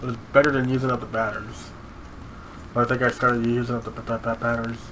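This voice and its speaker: A man at medium pitch, with monotone, flat intonation and a very fast pace, over noticeable background noise. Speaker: gaming youtuber. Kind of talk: casual chat. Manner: halting.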